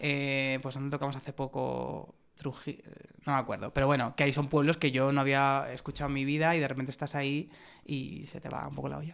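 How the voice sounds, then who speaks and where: This man talks at a fairly quick pace in a fairly high pitch. His intonation is monotone and flat. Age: 30s. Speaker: pop band singer and songwriter. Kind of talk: casual chat.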